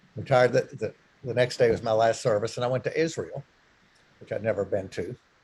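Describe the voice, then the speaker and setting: This is a man speaking at a medium pitch. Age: 60s. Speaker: retired clergyman. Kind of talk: talk to a church group. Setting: church meeting room with zoom. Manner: halting.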